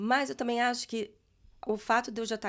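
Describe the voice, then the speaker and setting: In a very clean recording with a silent background, a woman with a plain, everyday voice speaks at a fairly high pitch with fairly even intonation. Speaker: guest on immigration podcast. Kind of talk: casual chat.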